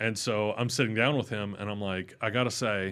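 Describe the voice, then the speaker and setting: The recording is very clean, with a silent background. A man with a fairly low pitch speaks at a moderate pace with fairly even intonation. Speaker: patristics scholar. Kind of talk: interview conversation. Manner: casual, filler-heavy storytelling.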